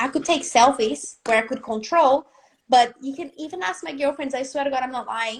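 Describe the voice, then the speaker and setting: A woman with a non-native accent talks at a fairly quick pace. Her pitch variation is ordinary. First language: not English. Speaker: business and confidence coach. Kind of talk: live video interview. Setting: live video stream. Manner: animated.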